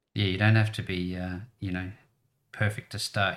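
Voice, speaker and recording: Fairly quick, somewhat breathy speech from a man. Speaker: podcast host. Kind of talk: casual interview. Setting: video call.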